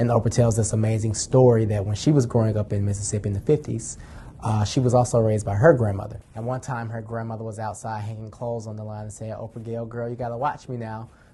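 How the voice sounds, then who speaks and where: This man's medium-pitched voice races along at a very fast pace with hardly any pauses, flat and monotone in intonation yet swinging widely in loudness. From Atlanta, Georgia. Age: 20s. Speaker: youth advocate. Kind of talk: personal testimony and advocacy speech.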